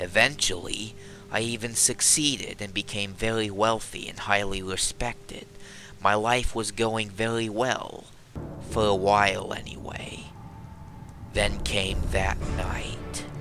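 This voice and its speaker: Using a put-on character voice, a man speaks at a fairly slow pace and fairly low pitch over clear background noise. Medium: machinima. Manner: reflective, somber storytelling.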